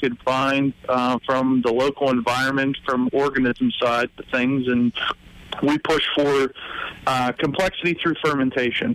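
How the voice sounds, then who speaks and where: A man with an American accent speaks at a fairly high pitch and a fairly slow pace, with ordinary pitch variation. The sound is dry and close with no echo, but there is noticeable background noise. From Pittsburgh area, Pennsylvania. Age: 30s. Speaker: brewery owner. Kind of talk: interview.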